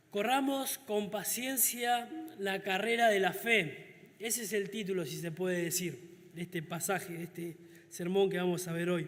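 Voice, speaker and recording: A man's high pitch with ordinary pitch variation, set in audible room echo. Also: fairly slow pace. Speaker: deacon preacher. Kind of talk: sermon.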